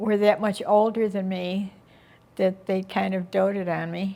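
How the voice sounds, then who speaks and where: Very slow and monotone, a woman with an Inland North American accent speaks at a medium pitch in a dark, mellow tone with flat intonation. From western New York. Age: 80s+. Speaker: interviewee recounting family history. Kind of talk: oral history interview. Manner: halting.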